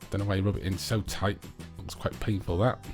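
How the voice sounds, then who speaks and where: Music plays in the background. Over it, a man speaks with a fairly low pitch. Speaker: nail tutorial voiceover.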